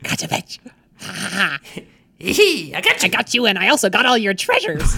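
A put-on character voice comes through at a fairly high pitch and a moderate pace. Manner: gleeful, cackling.

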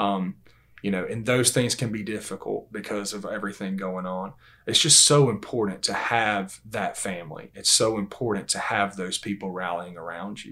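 Speaking in a Southern US accent, this man has a fairly low pitch and a bright, sharp tone. His pace is moderate and his intonation fairly even. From Georgia, US. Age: 30s. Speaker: Bible class teacher. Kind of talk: religious discussion.

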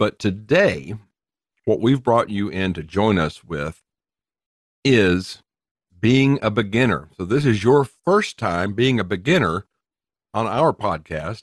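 A man with a Southern US accent at a fairly slow pace, the sound dry and close with no echo. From US South. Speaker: podcast co-host. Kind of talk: casual chat.

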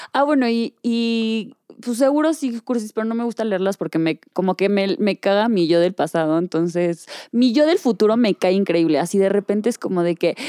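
A woman with a Mexican accent speaks at medium pitch in a dark, mellow tone. Her intonation is lively, and the sound is dry and close with no echo. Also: moderate pace. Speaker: podcast co-host. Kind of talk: casual chat.

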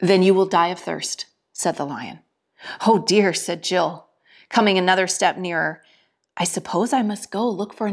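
Against a quiet background, the voice is reading aloud in a natural voice.

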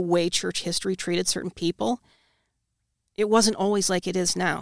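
Here is a woman with an unremarkable speaking voice, medium in pitch, at a moderate pace with fairly even intonation. The sound is dry and close with no echo, in a very clean recording with a silent background. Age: 30s. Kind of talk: casual interview.

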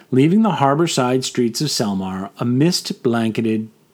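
This is plain reading aloud with lively intonation throughout.

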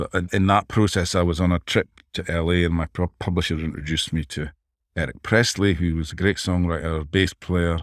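On a very clean recording with a silent background, a man with a very deep, low pitch speaks in fairly even intonation, the sound dry and close with no echo. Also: fairly quick pace. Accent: Dundee. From Scotland, Dundee. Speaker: songwriter and producer. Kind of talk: interview conversation.

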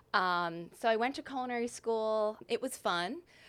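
A woman uses a normal speaking voice at a fairly slow pace with ordinary pitch variation. The recording is very clean, with a silent background. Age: 30s. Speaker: stylist. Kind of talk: casual chat.

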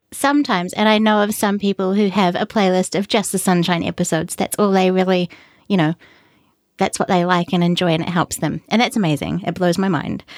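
On a very clean recording with a silent background and a dry, close sound with no echo, a woman with a New Zealand accent speaks fairly quickly at medium pitch, her loudness very even and her pitch varying in an ordinary way. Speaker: independent podcaster. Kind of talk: casual interview.

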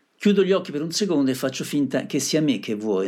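A man's pitch swings very widely as he talks. His recording is very clean, and the background is silent. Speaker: radio music show host. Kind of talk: radio DJ presenting songs. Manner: casual, conversational.

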